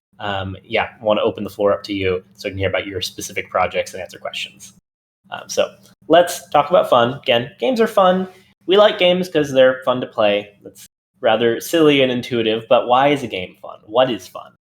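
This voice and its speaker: Talking at a fairly quick pace, a man uses a medium-pitched voice. His pitch swings very widely and his loudness swings a lot. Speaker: game developer, guest speaker. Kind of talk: lecture. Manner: fast.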